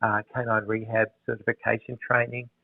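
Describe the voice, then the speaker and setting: At a moderate pace, a man with an Australian accent speaks at a medium pitch. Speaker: veterinarian. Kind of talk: interview.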